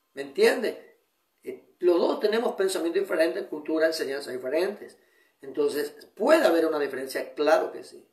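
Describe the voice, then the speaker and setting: A man speaks at a moderate pace, his loudness swinging widely. Audible echo fills the room around him. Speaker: pastor. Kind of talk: sermon. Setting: online broadcast. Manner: restrained, controlling his volume.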